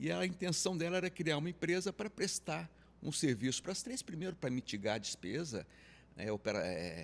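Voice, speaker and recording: A man speaks at a moderate pace in a fairly high pitch with vocal fry. His pitch swings very widely. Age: 60s. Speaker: insurance advisory business pioneer. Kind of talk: interview conversation.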